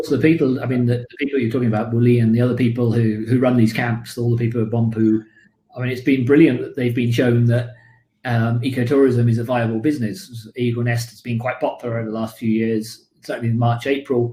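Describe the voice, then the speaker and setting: Speaking in a British accent, a man talks at a very fast pace in a monotone, flat intonation. His medium-pitched voice is somewhat breathy, with a dark, mellow tone. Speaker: birding tour leader. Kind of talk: live online talk Q&A.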